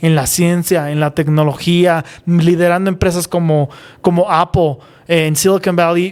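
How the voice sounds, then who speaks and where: Speaking at a fairly slow pace, a man with a high pitch keeps his intonation fairly even. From Mexico, San Miguel de Allende. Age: young. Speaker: aerospace engineer. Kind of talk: interview. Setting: live stream. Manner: halting.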